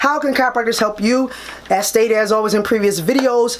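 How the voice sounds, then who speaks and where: Talking at a fairly quick pace, a woman with a fairly high pitch comes through over noticeable background noise. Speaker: chiropractor. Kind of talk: tutorial. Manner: fast; casual, conversational.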